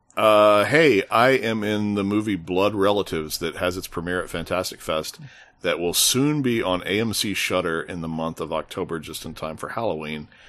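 A man's fairly low voice, a normal speaking voice, at a moderate pace with ordinary pitch variation and hardly any pauses, over a quiet background. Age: 40s. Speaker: film critic. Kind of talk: casual chat.

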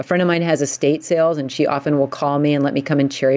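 A woman with a very deep, low pitch and an American accent speaks very fast in a flat monotone, with noticeable background noise behind her. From US, suburbs of Washington DC. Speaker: painter. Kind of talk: casual chat.

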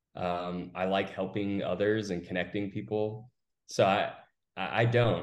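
Through audible room echo, a man with an American accent talks at a fairly low pitch and fairly slow pace in monotone, flat intonation. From Austin, Texas. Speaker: recruiting firm founder. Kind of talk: interview.

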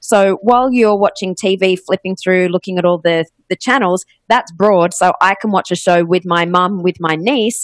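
A woman's medium-pitched voice with an Australian accent, dry and close with no echo. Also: ordinary pitch variation, moderate pace, very even loudness. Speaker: podcast agency CEO. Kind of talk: interview.

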